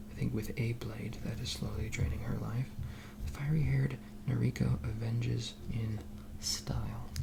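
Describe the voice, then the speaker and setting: A soft-spoken man's very deep, low voice with very wide pitch swings, a soothing tone, and a fairly slow pace over noticeable background noise. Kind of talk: ASMR soft-spoken magazine reading. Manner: soft-spoken, soothing.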